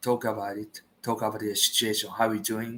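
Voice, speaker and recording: A man is speaking. He has a Japanese accent. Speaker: vlogger. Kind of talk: solo livestream chat. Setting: late-night livestream at home. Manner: halting.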